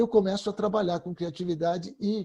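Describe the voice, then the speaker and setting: The man's pitch is high for a man. His tone is dark and mellow. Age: 60s. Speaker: creativity expert. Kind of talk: panel discussion.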